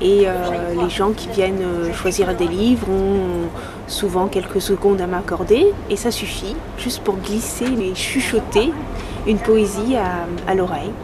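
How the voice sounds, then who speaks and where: A woman of medium pitch speaks very slowly, with long, frequent pauses and fairly even intonation. Noticeable background noise runs underneath. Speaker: whispering poet, reader of poems aloud. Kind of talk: interview answer, explaining her work.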